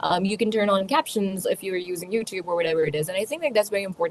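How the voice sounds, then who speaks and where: A woman talks with a Pakistani accent. Her pitch is medium, with ordinary pitch variation. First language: Urdu. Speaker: communication skills speaker. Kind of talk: online panel Q&A. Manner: hesitant, many fillers.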